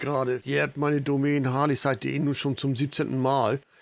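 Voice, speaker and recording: Here a man speaks at a moderate pace and a fairly high pitch. The recording is very clean, with a silent background. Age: 50s. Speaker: motorcycle blogger and podcast host. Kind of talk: solo podcast introduction. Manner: casual.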